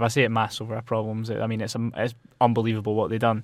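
In a Scottish accent, a man of medium pitch talks at a very fast pace in a monotone, flat voice on a very clean recording with a silent background. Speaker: student football pundit. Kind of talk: casual chat.

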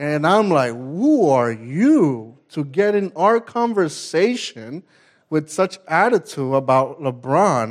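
Against a silent background on a very clean recording, a man with an American accent speaks at a very slow pace in a fairly high pitch, his loudness very even while his pitch swings very widely. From New York City (Queens, Staten Island). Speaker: ministry executive director, preacher. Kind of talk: sermon.

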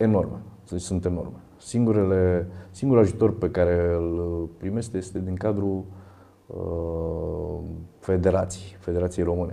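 The voice has a dark, mellow tone, heard with audible room echo. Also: man, very deep, low pitch for a man, fairly even intonation. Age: 50s. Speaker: fitness athlete and university lecturer. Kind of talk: interview.

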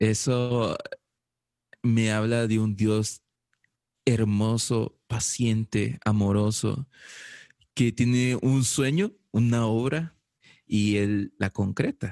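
A man's medium-pitched voice, very slow, with long and frequent pauses, a dark, mellow tone, very even loudness, and a dry, close sound with no echo. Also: fairly even intonation. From El Salvador. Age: 20s. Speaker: filmmaker. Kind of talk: casual chat.

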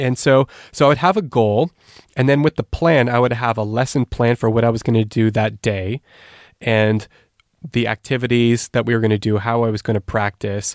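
With a Canadian accent and an unremarkable speaking voice, this speaker goes at a fairly quick pace, with very even loudness, fairly even intonation, and a dry, close sound without echo. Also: man, medium pitch for a man. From Canada. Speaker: language learning specialist. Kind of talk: interview. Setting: remote call.

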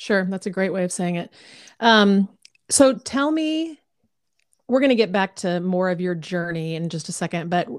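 A woman with an American accent speaks at a medium pitch and moderate pace with lively intonation, a plain, everyday voice in a very clean recording with a silent background and a dry, close sound with no echo. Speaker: podcast host. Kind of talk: casual chat.

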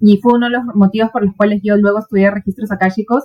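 At a fairly quick pace, a woman speaks with fairly even intonation and a medium pitch. Her voice is dark, mellow and somewhat breathy. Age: 40s. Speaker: therapist. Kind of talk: casual chat.

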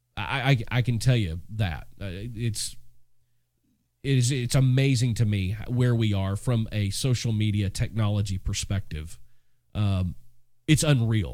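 A normal speaking voice from a man, fairly low in pitch, fairly slow, with ordinary pitch variation. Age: 40s. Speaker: podcast host and music business mentor. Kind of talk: solo podcast monologue. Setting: home studio. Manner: casual, conversational.

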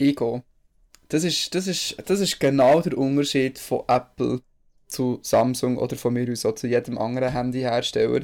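A man with a Bernese accent, medium pitch, moderate pace and ordinary pitch variation. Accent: Bernese Swiss German dialect. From Switzerland, Bern. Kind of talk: casual chat.

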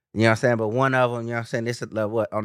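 A man speaks in a medium pitch with an American accent and a flat, monotone delivery. The recording is very clean, with a silent background. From California. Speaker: podcast co-host. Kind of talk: casual chat.

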